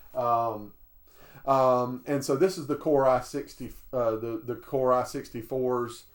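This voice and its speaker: This man talks with a Southern US accent at a medium pitch. His pace is fairly slow. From US South, southern Alabama. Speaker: retro computer video creator. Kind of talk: product review tutorial. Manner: halting, many fillers.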